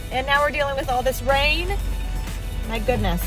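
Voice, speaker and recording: Clear music plays behind a woman as she talks. The recording is dry, without any echo. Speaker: family travel vlogger. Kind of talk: casual vlog chat. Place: car. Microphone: phone near.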